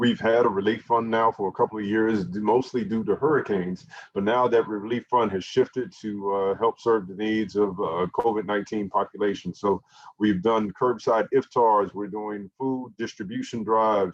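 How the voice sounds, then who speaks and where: A man talks at a moderate pace with a fairly low pitch, in a normal speaking voice. The sound is dry and close with no echo. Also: fairly even intonation. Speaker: masjid event host. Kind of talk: event announcements. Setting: online livestream.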